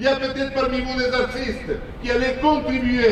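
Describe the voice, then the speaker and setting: Through noticeable background noise, a man talks at a fairly quick pace in an extremely high voice. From born outside Quebec. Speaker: politician. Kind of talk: protest speech. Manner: impassioned, rhetorical.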